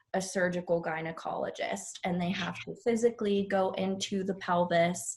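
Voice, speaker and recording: Somewhat breathy, a woman with an American accent speaks with fairly even intonation. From Pittsburgh, Pennsylvania. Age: 20s. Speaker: nurse. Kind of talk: podcast interview.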